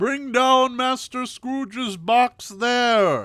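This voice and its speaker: In a put-on character voice, a man talks at a very slow pace, raised and projected, with an extremely high pitch. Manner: ferocious, commanding.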